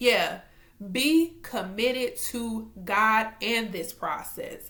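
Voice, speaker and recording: Bright and sharp in tone, a woman speaks in an animated, raised, projected voice. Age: 20s. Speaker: faith vlogger. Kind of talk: casual devotional vlog. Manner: loud.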